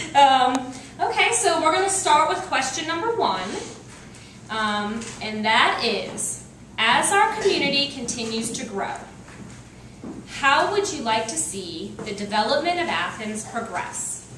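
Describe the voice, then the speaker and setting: A woman talks at a fairly slow pace and a high pitch, with very wide pitch swings, big swings in loudness, and long, frequent pauses. Noticeable background noise and audible room echo surround her voice. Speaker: debate moderator. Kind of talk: debate moderation. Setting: stage with audience, no microphone.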